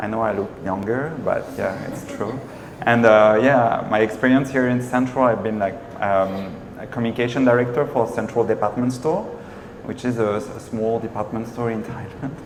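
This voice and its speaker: A man speaks in a French accent with fairly even intonation. There is noticeable background noise and an audible room echo. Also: medium pitch for a man, moderate pace. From France. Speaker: marketing entrepreneur. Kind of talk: panel discussion.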